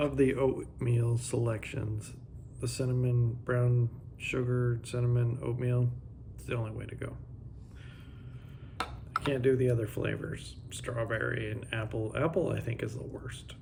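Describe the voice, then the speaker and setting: A man speaks at a fairly slow pace, with audible room echo around him. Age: 40s. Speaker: motorcycle travel vlogger. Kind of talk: casual vlog talk.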